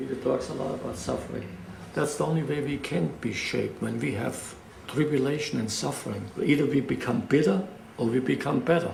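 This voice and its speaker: Fairly brisk talking amid noticeable background noise and audible echo from the room. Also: man. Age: 70s. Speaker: pastor. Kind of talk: interview.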